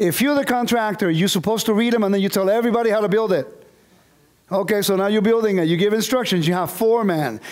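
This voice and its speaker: Audible room echo surrounds a man's high voice, which has ordinary pitch variation. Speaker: bible teacher. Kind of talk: lecture. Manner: fast.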